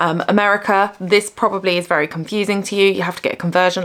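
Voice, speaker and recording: Noticeable background noise surrounds a woman. She speaks at a very fast pace in an animated tone. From UK. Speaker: crochet YouTuber. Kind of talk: casual vlog talk to camera. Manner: chatty, animated.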